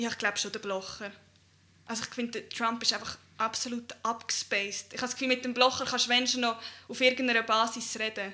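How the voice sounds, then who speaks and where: The speech rushes along at a very fast pace with big swings in loudness. The intonation stays monotone and flat. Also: woman, fairly high pitch for a woman. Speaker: youth party podcast host. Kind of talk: casual chat.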